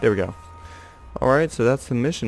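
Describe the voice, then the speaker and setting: A quiet man's voice. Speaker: gamer. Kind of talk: gameplay commentary. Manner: quiet, monotone.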